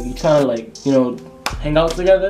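A man speaks in a Rhode Island accent at a fairly high pitch. Faint music sits in the background. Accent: Rhode Island urban American English. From Providence, Rhode Island. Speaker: YouTuber. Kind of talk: casual talk to camera. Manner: casual, slangy. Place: home room. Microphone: webcam.

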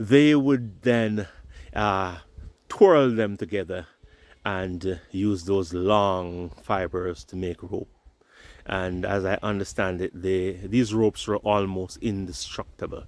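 A man speaks very slowly at a fairly low pitch with ordinary pitch variation. There is no echo, and the sound is dry. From Jamaica. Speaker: YouTuber. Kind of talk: vlog walk-and-talk narration. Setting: outdoors, walking. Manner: casual, conversational. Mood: nostalgic, relaxed. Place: open country. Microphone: phone near.

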